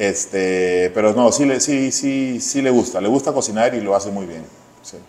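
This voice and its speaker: A man with a Peruvian accent at medium pitch, fairly slow pace, ordinary pitch variation and big swings in loudness. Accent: Peruvian Spanish (Lima). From Peru, Lima. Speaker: chef. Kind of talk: interview.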